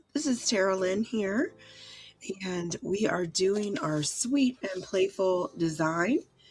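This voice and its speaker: Music plays behind a woman who speaks very slowly. Her pitch is medium and her intonation lively. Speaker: art instructor. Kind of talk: tutorial.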